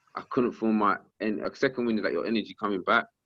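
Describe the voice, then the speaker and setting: Talking at a fairly quick pace, a man with a South London accent has a fairly low voice. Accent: South London, multicultural London English. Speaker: professional boxer and rapper. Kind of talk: casual interview. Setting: phone call. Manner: loud, energetic.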